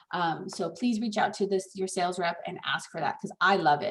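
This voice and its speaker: An ordinary speaking voice from a woman: medium pitch, moderate pace, fairly even intonation. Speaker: escrow officer. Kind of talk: training class.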